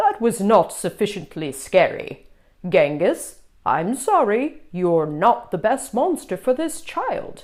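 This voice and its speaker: A woman's put-on character voice, fairly high in pitch and fairly slow in pace. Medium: read story. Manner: formal, instructive.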